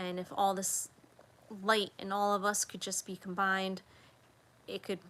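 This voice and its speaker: A woman speaks in a bright, sharp tone with monotone, flat intonation. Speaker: religious video blogger. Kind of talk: casual late-night monologue. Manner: halting.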